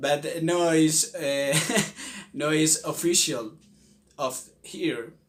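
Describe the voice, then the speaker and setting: A man with a Spanish accent, very slow, with long, frequent pauses. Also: ordinary pitch variation. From Colombia. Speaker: language video creator. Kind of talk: casual tutorial. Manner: halting, many fillers.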